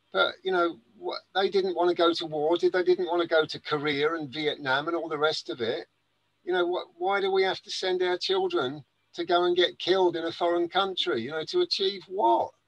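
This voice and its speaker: With an English accent, this man talks at a fairly quick pace in a high pitch, keeping his intonation fairly even. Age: 60s. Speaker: gardener and spiritual speaker. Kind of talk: interview. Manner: halting, many fillers and restarts.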